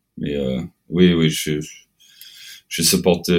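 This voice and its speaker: A man's very deep, low voice with vocal fry, fairly even intonation and a fairly slow pace. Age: 30s. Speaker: metal band frontman. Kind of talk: casual interview. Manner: halting.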